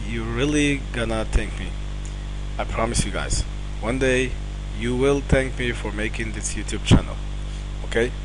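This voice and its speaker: A man speaks with a non-native accent. Noticeable background noise and audible room echo surround his voice. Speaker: online marketing instructor. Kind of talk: promotional talk to camera. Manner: halting, many fillers.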